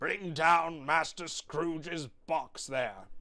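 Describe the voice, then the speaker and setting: A man puts on a raspy character voice, pitched fairly high for a man and delivered at a very slow pace. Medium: read story.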